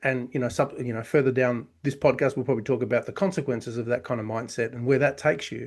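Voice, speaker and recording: Against a quiet background, a man with an Australian accent talks at a very fast pace and a medium pitch with ordinary pitch variation. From Australia (Victoria). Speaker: chiropractor and business consultant. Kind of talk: podcast interview.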